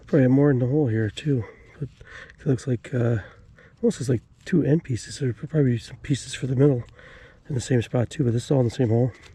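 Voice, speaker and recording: A man talks at a very fast pace with a somewhat breathy voice. His pitch varies in an ordinary way. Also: medium pitch for a man. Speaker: metal detecting video creator. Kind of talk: outdoor detecting vlog commentary. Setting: outdoors at wooded farm site. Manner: hesitant, many fillers.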